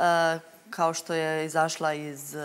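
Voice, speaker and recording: A woman talks with light background noise behind her. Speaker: reality show contestant. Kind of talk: studio panel discussion. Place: studio. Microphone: lapel.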